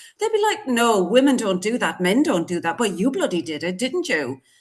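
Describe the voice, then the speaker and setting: A woman's high-pitched voice with very wide pitch swings. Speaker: GP and menopause specialist. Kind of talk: casual podcast chat. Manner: animated.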